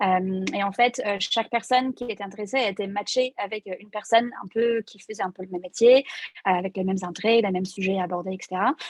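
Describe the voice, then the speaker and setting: A woman speaks at a very fast pace with fairly even intonation but big swings in loudness. The sound is dry and close, with no echo. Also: medium pitch for a woman. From Ireland. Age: 20s. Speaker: tech recruiter. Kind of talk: interview. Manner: halting, many fillers.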